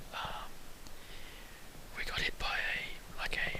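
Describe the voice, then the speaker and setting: Someone whispers over noticeable background noise. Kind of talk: casual whispered travel talk to camera. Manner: whispered.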